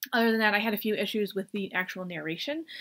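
A woman talks at a fairly quick pace. She speaks with an American accent. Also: quiet background. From US. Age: 40s. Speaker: book reviewer. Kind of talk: casual chat. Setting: at home desk. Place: home room. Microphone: webcam.

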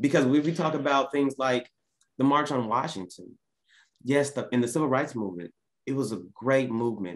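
Against a quiet background, a man speaks at a fairly quick pace with long, frequent pauses and ordinary pitch variation. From US South. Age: 30s. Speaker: business coach; podcast guest. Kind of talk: casual chat. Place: home room. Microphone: video call.

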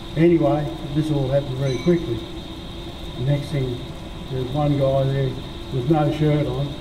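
Noticeable background noise under a man talking at a moderate pace. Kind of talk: interview answer. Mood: reflective, matter-of-fact. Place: studio.

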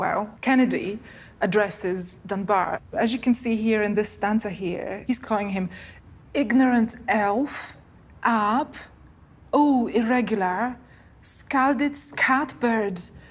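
A somewhat breathy woman at a very slow pace, with ordinary pitch variation. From Poland. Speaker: Scots language scholar. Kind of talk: interview answer.

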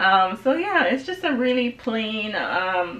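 Very wide pitch swings in a Jamaican accent. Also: woman. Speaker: lifestyle vlogger. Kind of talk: casual talk to camera. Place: home room.

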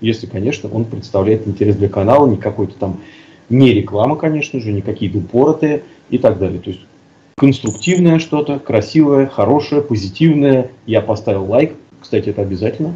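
A man speaks at a moderate pace in a dark, mellow tone. His voice is somewhat breathy, with lively intonation. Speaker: co-host of a live stream. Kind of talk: live stream discussion. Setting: video call. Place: home room. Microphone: headset.

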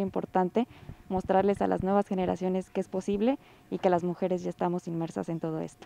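In a dry sound with no echo, a woman with a dark, mellow tone speaks at a fairly quick pace with fairly even intonation. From Michoacán, Mexico. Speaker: engineering student; candidate. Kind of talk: interview. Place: hall. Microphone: handheld.

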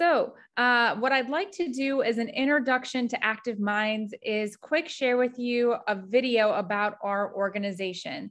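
At a fairly slow pace, a woman with an American accent and a high pitch speaks with ordinary pitch variation against a quiet background. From US Midwest. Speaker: mental health nonprofit staff presenter. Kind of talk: educational workshop presentation. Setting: video call. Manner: casual, frequent filler words. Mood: warm, friendly. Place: home room. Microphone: video call.

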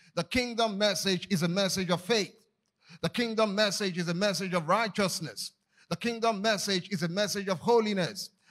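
The background is quiet as a man speaks at a moderate pace. His pitch is high, with fairly even intonation. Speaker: preacher. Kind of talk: sermon. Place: church. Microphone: handheld.

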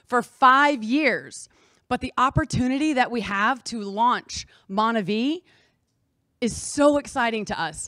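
The voice has a bright, sharp tone and ordinary pitch variation, moving at a fairly slow pace in a dry sound with no echo over a quiet background. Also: woman, high pitch for a woman. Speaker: presenter. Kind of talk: motivational presentation. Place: meeting room. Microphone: handheld.

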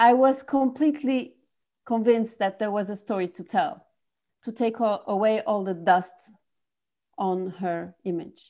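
A woman speaks with a French accent in a fairly high pitch and a dark, mellow tone. Her pace is fairly slow, with long, frequent pauses. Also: ordinary pitch variation, quiet background. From France. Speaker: filmmaker. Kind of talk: interview. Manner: halting. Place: home room. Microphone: earbuds.

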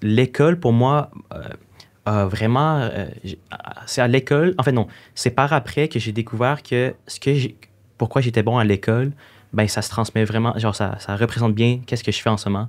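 The man's pitch is medium, with ordinary pitch variation. He keeps a moderate pace and takes long, frequent pauses. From Quebec. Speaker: social media influencer. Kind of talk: interview. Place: studio. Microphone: studio mic.

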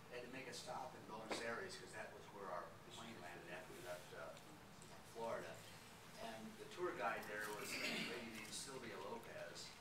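A man talks at a fairly quick pace with ordinary pitch variation, against loud background noise and audible room echo. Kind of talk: slide presentation talk. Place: meeting room. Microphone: camera far.

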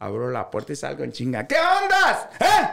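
The tone is animated. There is audible room echo against a quiet background. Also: man. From Sinaloa, Mexico. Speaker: social media comedian. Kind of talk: casual chat. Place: studio.

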